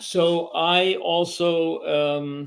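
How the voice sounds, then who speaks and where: With a New York accent, a man speaks using fairly even intonation. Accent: New York American English. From New York City. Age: 70s. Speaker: composer and media artist. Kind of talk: interview conversation. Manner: hesitant, many fillers.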